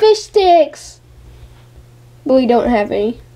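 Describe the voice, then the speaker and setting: A female-sounding voice performs a cartoonish character at a high pitch, with very wide pitch swings. The pace is fairly slow. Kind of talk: puppet show comedy dialogue. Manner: goofy, excitable.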